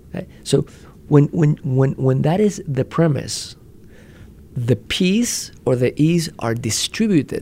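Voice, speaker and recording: Very slow and lively in intonation, the man's speech has a fairly high pitch. His tone is dark and mellow, as well as somewhat breathy. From Spain and Puerto Rico. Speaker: marketing executive. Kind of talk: interview. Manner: halting, repeats words.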